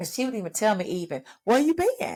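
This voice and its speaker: A woman talks in an animated tone with an American accent. The recording is very clean, with a silent background. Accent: Texas accent, comes and goes. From Texas. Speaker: podcast host. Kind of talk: motivational podcast monologue.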